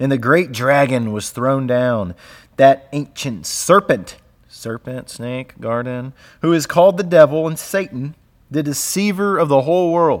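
A man's unremarkable speaking voice, fairly high, at a fairly slow pace with lively intonation, on a very clean recording with a silent background. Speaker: podcast co-host. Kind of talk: casual chat about theology.

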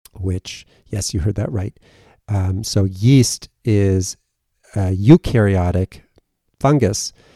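A man with an American accent speaks at a very slow pace, leaving long and frequent pauses, his tone dark and mellow with ordinary pitch variation, on a dry, close, echo-free recording that is very clean with a silent background. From US Northeast (Western Massachusetts), partly Germany. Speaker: psychiatrist, podcast host. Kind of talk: solo podcast monologue. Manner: hesitant, with fillers and repeats.

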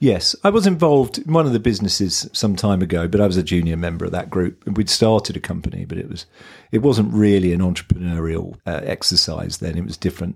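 Someone talks very fast in a southern English accent. The recording is very clean, with a silent background. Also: man, very deep, low pitch for a man. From southern England (Kent). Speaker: agency founder and investor. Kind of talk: interview. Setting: in person at office.

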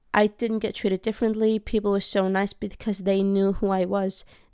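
A woman with a dark, mellow tone speaks at medium pitch and moderate pace on a very clean recording with a silent background. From Denmark, Iraqi family roots. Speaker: solo podcaster. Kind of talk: personal monologue.

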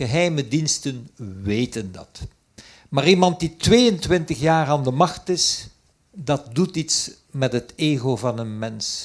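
In a very clean recording with a silent background, a man talks very slowly in a fairly high, somewhat breathy voice with lively intonation. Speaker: emeritus professor. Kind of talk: panel discussion.

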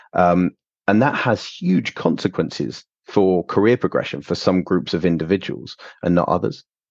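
Over a quiet background, a man speaks with a very deep, low pitch, vocal fry and lively intonation at a moderate pace. The sound is dry and close with no echo, and his loudness stays very even. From London, England. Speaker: surgeon and medical education researcher. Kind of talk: interview. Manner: hesitant, many fillers and repetitions.

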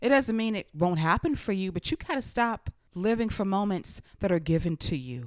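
A woman's medium-pitched voice with very wide pitch swings at a moderate pace, with hardly any pauses, in a very clean recording over a silent background. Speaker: wrestling podcast host. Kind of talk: wrestling show recap podcast, with a read-out promo. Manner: animated, emphatic promo delivery when reading out the speech.

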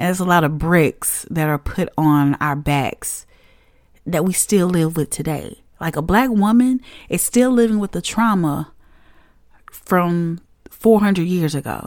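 This woman has a fairly low pitch and an animated tone. She speaks at a fairly slow pace with lively intonation. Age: 30s. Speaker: podcast host. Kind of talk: casual monologue.

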